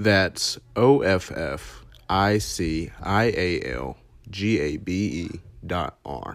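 On a very clean recording with a silent background, a man with a very deep, low voice and vocal fry speaks at a very slow pace with lively intonation. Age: 20s. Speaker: podcast host and cosmetology student. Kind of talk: casual solo podcast introduction. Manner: hesitant, many fillers.

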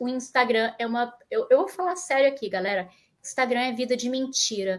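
A woman speaks with a high pitch. The recording is very clean, with a silent background. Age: 40s. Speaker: tech community manager. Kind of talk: live stream interview. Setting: home office. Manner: animated.

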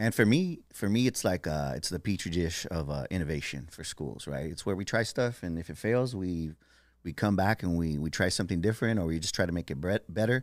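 A man with a very deep, low voice talks fairly quickly in an American accent. His intonation is lively, and the recording is very clean with a silent background. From San Diego, California. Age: 50s. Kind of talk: casual chat.

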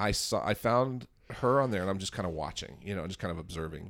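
A man talking very fast with vocal fry and very wide pitch swings, in a very clean recording with a silent background. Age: 40s. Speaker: comedian and editor. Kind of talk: casual chat. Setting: office.

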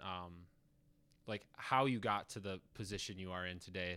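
An unremarkable speaking voice from a man at a moderate pace, on a very clean recording with a silent background. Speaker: student podcast host. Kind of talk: interview.

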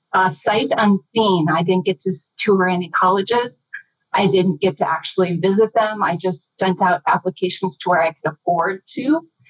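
Recorded dry and close with no echo, a woman with an American accent has a plain, everyday voice at medium pitch, speaking at a moderate pace with lively intonation. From Minnesota, US. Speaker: organizational development facilitator. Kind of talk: interview.

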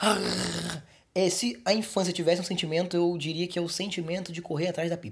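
This is a man speaking. His pitch is high. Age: 40s. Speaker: podcast host. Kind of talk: casual podcast monologue. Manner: casual, halting.

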